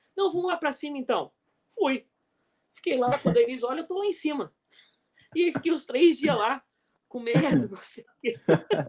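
At a moderate pace, a man with an extremely high pitch and lively intonation speaks with long, frequent pauses and big swings in loudness. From Brazil. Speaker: volleyball coach. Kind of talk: casual chat.

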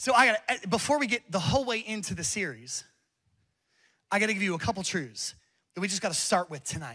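In a very clean recording with a silent background, a man speaks in a raised, projected voice with a bright, sharp tone, high pitch, very wide pitch swings and an animated, passionate tone, at a fairly quick pace broken by long, frequent pauses. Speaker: pastor. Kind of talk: sermon. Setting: church with live congregation. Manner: passionate, building to a fiery, exhorting call to worship.

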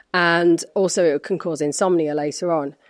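This woman's fairly low voice comes through over a quiet background. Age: 40s. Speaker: actress and wellness advocate. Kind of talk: casual interview. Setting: in person in an empty office. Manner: energetic.

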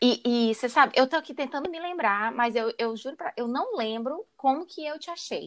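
A high-pitched woman's voice, lively in intonation, with big swings in loudness and hardly any pauses. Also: moderate pace. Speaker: podcast host, recruiter. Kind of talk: podcast interview. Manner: casual.

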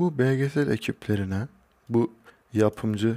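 Ordinary pitch variation and a fairly slow pace from a man. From Turkey, Kayseri (Hacılar). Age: 20s. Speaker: podcaster. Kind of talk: solo monologue podcast. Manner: casual, with laughs.

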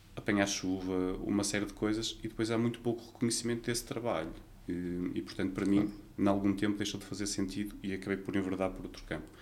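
Audible room echo follows a man talking at a very fast pace with a fairly low pitch and monotone, flat intonation. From Portugal, Vila Nova de Gaia (Porto area). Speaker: nurse. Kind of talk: interview.

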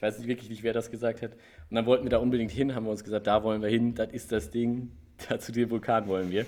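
Here a man talks at a very fast pace. His pitch sits in the medium range. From Germany, Gelnhausen (Hesse). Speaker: podcast host. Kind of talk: casual chat. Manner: animated.

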